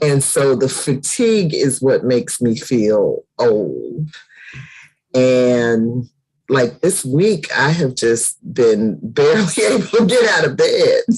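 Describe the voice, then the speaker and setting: Very slow and very deep, a woman's low voice makes very wide pitch swings. Her loudness stays very even throughout. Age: 60s. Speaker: book club host. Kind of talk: casual chat.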